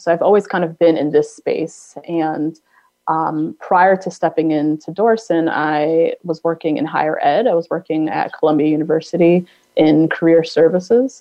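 Fairly low pitch from a woman, with ordinary pitch variation and a moderate pace. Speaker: nonprofit executive director. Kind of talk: interview. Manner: hesitant, many fillers.

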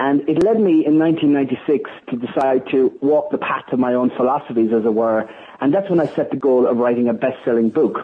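A man's medium-pitched voice in an Irish accent, at a moderate pace with ordinary pitch variation. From Ireland. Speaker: sales trainer and author. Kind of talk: interview. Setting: phone call.

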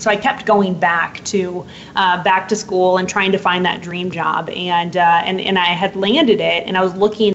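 A woman at medium pitch and moderate pace, hardly any pauses, noticeable background noise behind her. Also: fairly even intonation. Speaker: author and purpose coach. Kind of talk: interview. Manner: crisp, eloquent.

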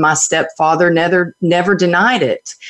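This woman speaks with a Texan accent at a fairly low pitch. Her pace is fairly slow. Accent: Texan Southern US. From Texas. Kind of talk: interview. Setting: video call.

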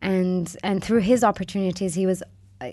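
This woman has an American accent and a medium pitch. The background is quiet. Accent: American-sounding English. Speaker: corporate social responsibility consultant. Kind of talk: interview. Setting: studio. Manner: halting, many fillers.

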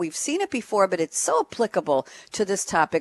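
A woman talks at a fairly quick pace with lively intonation and an animated, upbeat tone. The sound is dry and close with no echo, over a quiet background. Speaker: radio host and moderator. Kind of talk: live panel discussion moderating.

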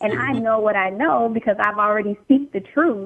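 This woman's voice sits at a fairly high pitch and shows ordinary pitch variation. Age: 40s. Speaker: caller. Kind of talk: testimony. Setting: phone call. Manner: energetic.

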